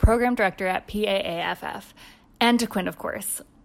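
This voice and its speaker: A woman speaks in a normal speaking voice at a medium pitch, recorded very cleanly against a silent background. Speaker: podcast producer. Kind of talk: scripted intro.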